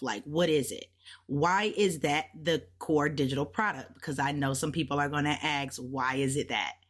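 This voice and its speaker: A woman's animated voice, very deep and low in pitch, at a moderate pace. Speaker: digital product creator and online business mentor. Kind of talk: tutorial.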